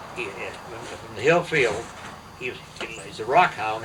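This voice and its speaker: A man talks fairly quickly. Background noise is clearly audible. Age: 90s. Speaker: elderly man recounting family history. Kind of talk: casual family conversation. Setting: at home with family. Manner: halting, repetitive.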